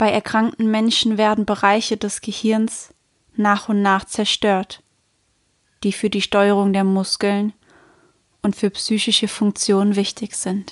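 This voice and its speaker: In a dry, close sound with no echo, a woman at medium pitch speaks at a very slow pace in a monotone, flat intonation, with long, frequent pauses. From Germany. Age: 20s. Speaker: podcast host. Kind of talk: personal storytelling monologue.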